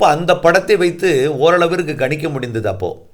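Here is a man with a fairly high pitch. Vocal fry runs through his voice. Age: 50s. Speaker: weather forecaster. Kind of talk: monologue talk to viewers.

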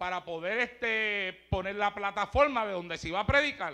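In a raised, projected voice, a man with a high pitch sounds animated and bright, with a sharp tone, over a quiet background. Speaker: preacher. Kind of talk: sermon.

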